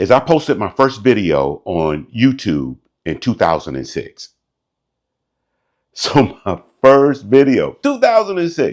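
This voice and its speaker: Long, frequent pauses in a man's very slow speech. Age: 50s. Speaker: motivational YouTuber, entrepreneur; military veteran. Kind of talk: casual talk to camera. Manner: candid, reflective.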